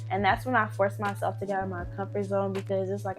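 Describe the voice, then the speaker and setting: Music plays in the background as a woman speaks. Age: 20s. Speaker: college student and tech intern. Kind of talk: casual talk to camera.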